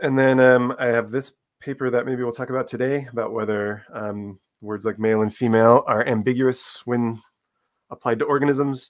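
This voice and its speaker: The voice keeps a monotone, flat intonation at a moderate pace. The background is quiet. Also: man. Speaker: guest. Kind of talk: interview answer. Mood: relaxed, smiling. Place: home room. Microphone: video call.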